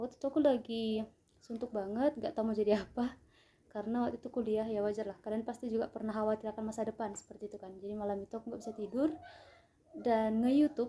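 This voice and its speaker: Fairly high in pitch, a woman speaks at a very fast pace. Her intonation is fairly even. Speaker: vlogger, aspiring au pair. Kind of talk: casual vlog storytelling.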